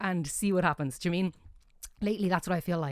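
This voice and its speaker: With fairly even intonation, a woman speaks in an Irish accent on a very clean recording with a silent background. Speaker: jazz singer. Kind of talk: interview.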